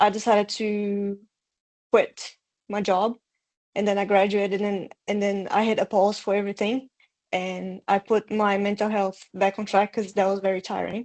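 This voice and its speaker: Monotone, flat intonation at a moderate pace, in a Portuguese accent. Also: woman, medium pitch for a woman, dry, close sound with no echo. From Brazil. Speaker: bootcamp graduate. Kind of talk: testimony. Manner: hesitant, many fillers.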